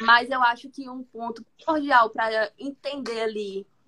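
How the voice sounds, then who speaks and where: A bright, sharp tone at a fairly slow pace, with ordinary pitch variation and a dry, close sound with no echo. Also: woman. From Brazil, Fortaleza, Ceará. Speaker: product manager, former educator. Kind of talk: casual chat.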